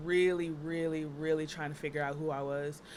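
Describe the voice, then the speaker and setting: In an American accent, a woman speaks with a very deep, low pitch and monotone, flat intonation amid audible room echo. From Texas (Dallas). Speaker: makeup artist and burlesque performer. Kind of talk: casual chat. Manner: fast, filler-heavy.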